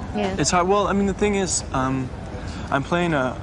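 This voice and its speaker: A man against noticeable background noise. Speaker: young actor interviewed. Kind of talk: interview answer. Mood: playful, slightly nervous. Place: garden.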